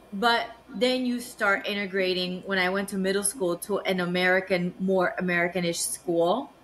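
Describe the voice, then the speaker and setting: Noticeable background noise sits behind a woman who speaks at a moderate pace and medium pitch with ordinary pitch variation. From South Florida, Miami (moved from Nicaragua at 7). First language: Spanish. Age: 40s. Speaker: business development analyst. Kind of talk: interview conversation.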